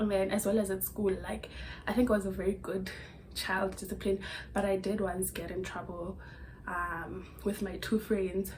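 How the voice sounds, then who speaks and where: Against noticeable background noise, a woman with a South African accent speaks at a moderate pace and medium pitch with flat, monotone intonation. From Limpopo, South Africa. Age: 20s. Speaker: YouTuber. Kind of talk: casual talk to camera. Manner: chatty, storytelling.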